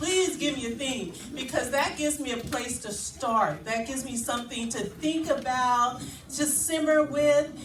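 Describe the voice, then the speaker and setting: Loud and high-pitched, a woman speaks at a fairly slow pace with lively intonation, amid audible room echo and noticeable background noise. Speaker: spoken word poet. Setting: live event with audience.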